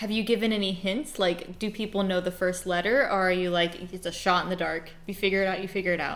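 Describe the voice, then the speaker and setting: Her pitch variation is ordinary. The woman talks at a fairly quick pace. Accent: American. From Arizona, Phoenix. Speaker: video game streamer. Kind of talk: casual livestream chat. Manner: loud; animated.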